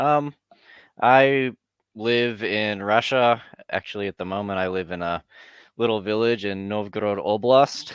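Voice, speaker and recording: Heard in a dry, close sound with no echo, a man speaks at a fairly low pitch and fairly slow pace with ordinary pitch variation. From Southern California (Santa Monica). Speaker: journalist and blogger. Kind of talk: casual interview chat.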